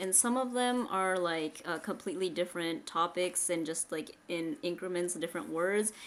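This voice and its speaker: This woman has an ordinary speaking voice with an American accent. Her pitch is fairly low, with ordinary variation. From United States. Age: 20s. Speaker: vlogger. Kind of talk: casual chat. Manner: casual, filler-heavy.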